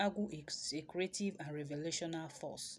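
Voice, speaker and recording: Somewhat breathy, a woman speaks with a Nigerian accent. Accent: Nigerian Igbo English. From Nigeria, Igbo, Awka in Anambra State. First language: Igbo. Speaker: traditional healer and spiritual teacher. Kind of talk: teaching talk.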